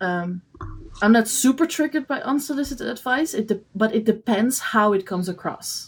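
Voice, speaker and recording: A woman's fairly high, somewhat breathy voice at a fairly quick pace, with lively intonation. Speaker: podcast co-host and paint maker. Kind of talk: casual chat. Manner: animated.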